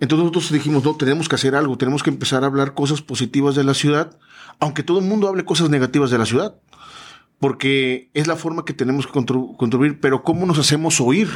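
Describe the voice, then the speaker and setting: At a very fast pace, a man speaks in a fairly high voice with very even loudness and ordinary pitch variation. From Veracruz, Mexico. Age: 40s. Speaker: business consultant and event organizer. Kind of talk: casual interview. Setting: studio.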